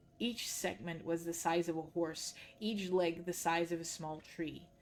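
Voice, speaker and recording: Music plays in the background as a woman talks at a fairly low pitch. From Netherlands. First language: Dutch. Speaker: streamer reading books aloud. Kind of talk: reading aloud.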